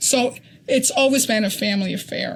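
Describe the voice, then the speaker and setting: A woman with an American accent speaks at a fairly high pitch and a fairly slow pace, her voice somewhat breathy, with ordinary pitch variation. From Connecticut. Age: 60s. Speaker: ultrarunner. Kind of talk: interview. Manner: halting.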